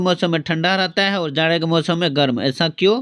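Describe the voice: At a high pitch and moderate pace, a man speaks with a fairly bright tone and ordinary pitch variation.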